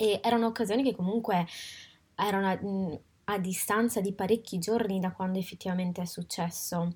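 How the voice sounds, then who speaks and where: Over a silent background in a very clean recording, a woman speaks in a somewhat breathy, medium-pitched voice with fairly even intonation. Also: fairly quick pace. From Italy. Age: 20s. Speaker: podcast host. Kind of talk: personal reflective monologue. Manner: halting, with frequent fillers.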